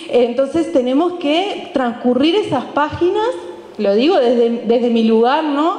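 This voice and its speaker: Amid audible room echo, a woman speaks at a high pitch and a fairly slow pace with lively intonation. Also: very even loudness. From Uruguay. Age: 40s. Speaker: historian and university lecturer; panelist. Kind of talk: book presentation talk. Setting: event with live audience. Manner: halting, many fillers and repetitions. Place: stage. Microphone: handheld.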